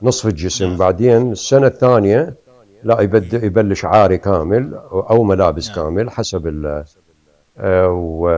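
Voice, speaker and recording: A man with an Iraqi accent speaks at a fairly low pitch. His tone is dark and mellow, with ordinary pitch variation. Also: fairly slow pace. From Iraq, Hilla and Baghdad. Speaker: painter. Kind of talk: interview.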